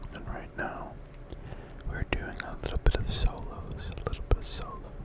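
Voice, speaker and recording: Whispering at a moderate pace, a man makes big swings in loudness. Noticeable background noise runs under him. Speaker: ASMR creator. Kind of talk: ASMR gameplay commentary. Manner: whispered, soft.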